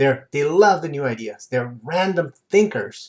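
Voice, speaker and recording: A man speaks in an animated tone, somewhat breathy. His intonation is lively. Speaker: personal development coach. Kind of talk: lecture. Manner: fast.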